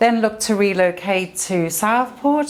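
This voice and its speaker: A woman with a South African accent. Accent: South African, noticeable. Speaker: estate agent. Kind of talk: podcast interview.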